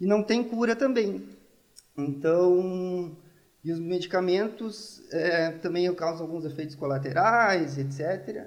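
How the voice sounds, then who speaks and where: A man's high-pitched speech, its pitch varying in an ordinary way. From Brazil, Rio Grande do Sul (gaúcho). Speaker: neuroscience researcher, pharmacist. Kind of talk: casual interview.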